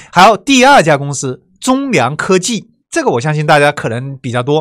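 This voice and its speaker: The speaker has a Wuhan accent, heard on a very clean recording with a silent background. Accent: Wuhan accent, noticeable. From China, Wuhan. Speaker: online course teacher. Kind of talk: lecture. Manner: conversational, many filler sounds.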